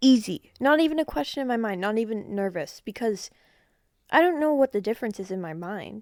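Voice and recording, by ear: In a very clean recording over a silent background, a woman talks at a fairly quick pace with a fairly high pitch, lively intonation, and a slightly mellow tone. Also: dry, close sound with no echo.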